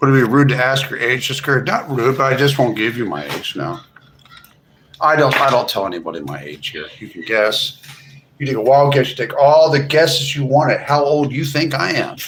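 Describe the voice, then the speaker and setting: A man with an American accent speaks at a medium pitch and a fairly quick pace. His voice has vocal fry and ordinary pitch variation. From US Northeast, Philadelphia. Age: 40s. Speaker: live streamer. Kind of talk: casual chat. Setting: livestream.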